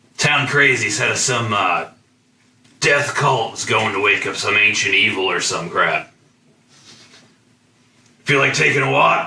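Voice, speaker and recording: A man's put-on character voice, raspy and medium in pitch, at a fairly slow pace with long, frequent pauses. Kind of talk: casual, slangy.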